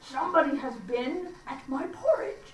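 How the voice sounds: The speaker uses a put-on character voice at high pitch. The pace is moderate, with a slight echo.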